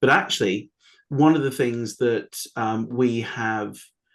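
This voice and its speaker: Speaking at a medium pitch, a man talks with a British accent. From United Kingdom. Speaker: AI compliance consultant. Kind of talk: webinar panel discussion. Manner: hesitant, many fillers.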